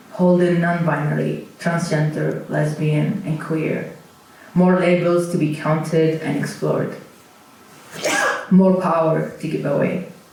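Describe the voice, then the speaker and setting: Over noticeable background noise and audible room echo, a man with a fairly high pitch talks at a fairly slow pace in a monotone, flat intonation, with long, frequent pauses. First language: Arabic (Kuwaiti dialect). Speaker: poet. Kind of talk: poetry performance. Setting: stage with audience. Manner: halting.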